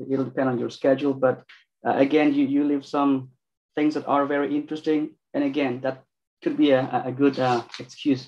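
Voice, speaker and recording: This man talks at a moderate pace in a monotone, flat intonation. Light background noise can be heard. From Mexico. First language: Spanish. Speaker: PhD student moderating a lecture; event host, moderator. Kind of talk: event moderation and Q&A. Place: office. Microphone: video call.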